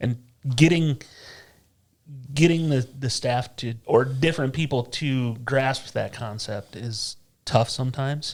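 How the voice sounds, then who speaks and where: The recording is very clean with a silent background, and a man speaks at a fairly slow pace with long, frequent pauses. His pitch is medium with ordinary variation, and his voice is somewhat breathy. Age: old. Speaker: director of night operations. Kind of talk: casual interview chat.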